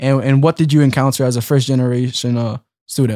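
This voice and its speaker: A man's fairly high voice at a fairly quick pace, in a very clean recording with a silent background. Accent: American. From Philadelphia. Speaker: college student podcast co-host. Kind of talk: casual chat. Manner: animated.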